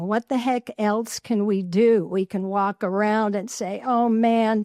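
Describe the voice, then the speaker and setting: In an American accent, a woman with a fairly high pitch speaks at a very slow pace, the sound dry and close with no echo. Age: 80s+. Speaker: podcast host. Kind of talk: solo podcast talk.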